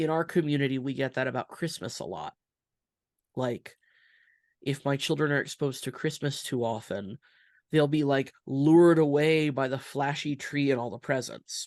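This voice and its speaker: Against a quiet background, a woman speaks at a very deep, low pitch and a moderate pace, the sound dry and close with no echo. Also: ordinary pitch variation. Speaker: rabbi. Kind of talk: interview conversation. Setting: podcast.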